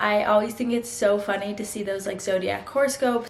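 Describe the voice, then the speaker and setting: Noticeable background noise accompanies a woman who talks with a fairly high pitch. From mixed upbringing: US, Vietnam, India, Mexico. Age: 20s. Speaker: vlogger. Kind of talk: casual chat.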